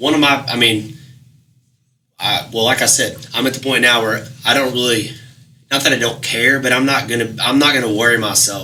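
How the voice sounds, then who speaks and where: Audible room echo surrounds a man talking at a fairly quick pace. His pitch is medium and his intonation fairly even. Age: 30s. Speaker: musician. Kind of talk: casual chat.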